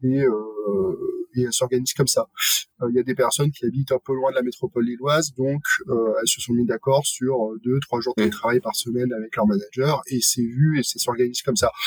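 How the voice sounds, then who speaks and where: A man speaks at a fairly quick pace, his voice medium in pitch and somewhat breathy. The sound is dry and close with no echo, and his pitch varies in an ordinary way. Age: 30s. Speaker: head of people at a robotics company. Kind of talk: casual panel discussion.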